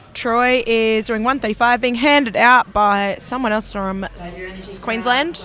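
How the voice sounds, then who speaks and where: With hardly any pauses, a woman talks over noticeable background noise. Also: fairly high pitch for a woman, ordinary pitch variation. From South Australia. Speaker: powerlifting meet commentator. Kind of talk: live commentary. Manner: casual, conversational.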